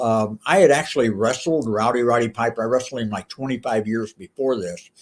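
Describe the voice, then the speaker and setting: Speaking at a fairly quick pace, a man uses an ordinary speaking voice at medium pitch. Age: 60s. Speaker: pastor and former pro wrestler. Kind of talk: casual chat. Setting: podcast interview.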